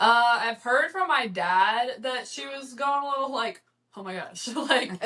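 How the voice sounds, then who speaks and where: In a Texan accent, a woman with a high pitch speaks at a fairly slow pace in a raised, projected voice, with lively intonation and big swings in loudness. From Texas, near Houston. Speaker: podcast guest, college student. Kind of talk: casual chat.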